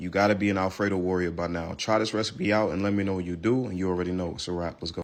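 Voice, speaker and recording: This man talks very fast with a New York accent, his very deep, low voice keeping a fairly even intonation. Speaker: cooking content creator. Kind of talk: recipe tutorial. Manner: casual.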